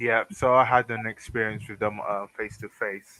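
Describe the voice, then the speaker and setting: In a British accent, a man with a medium pitch and a bright, sharp tone speaks at a moderate pace with monotone, flat intonation, the sound dry and close with no echo. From Britain. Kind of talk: casual chat. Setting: livestream voice call without webcam. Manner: halting, many fillers.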